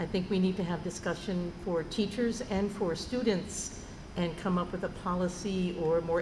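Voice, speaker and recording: A woman with an American accent speaks at a fairly low pitch. There is audible room echo and noticeable background noise. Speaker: school board member. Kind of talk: board meeting discussion.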